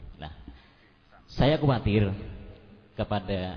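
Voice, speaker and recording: The man's intonation is lively, though his pace is fairly slow. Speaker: local resident at town hall meeting. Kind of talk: public speech at community dialogue.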